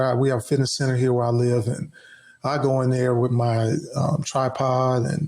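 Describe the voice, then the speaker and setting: This man speaks at a moderate pace in a medium pitch, his voice somewhat breathy and his loudness very even. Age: 60s. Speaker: podcast co-host. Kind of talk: casual chat. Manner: animated.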